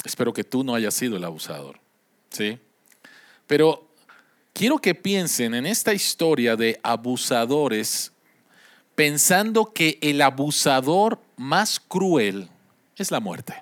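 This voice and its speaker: Very slowly and with long, frequent pauses, a man with a fairly high pitch and very wide pitch swings speaks in a very clean, dry, close recording with no echo and a silent background. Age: 50s. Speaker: pastor. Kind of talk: sermon.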